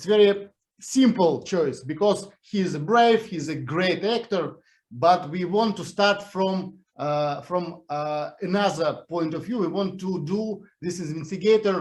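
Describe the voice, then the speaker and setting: A man with a Russian accent speaks at a very slow pace, his high pitch showing ordinary variation. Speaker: series creator. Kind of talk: interview. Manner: halting.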